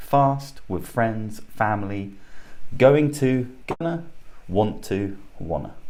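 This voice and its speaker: A man's fairly low, very slow voice with lively intonation and audible room echo. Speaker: English teacher. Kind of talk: online lesson. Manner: slow, deliberate.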